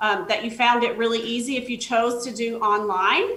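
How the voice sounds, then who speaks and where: A woman's fairly high voice at a moderate pace, with audible room echo. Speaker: government outreach specialist. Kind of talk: presentation.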